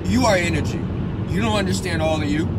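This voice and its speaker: Loud background noise surrounds a man whose voice is recorded dry, with no echo. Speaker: spiritual coach. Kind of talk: casual vlog chat. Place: car. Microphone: phone near.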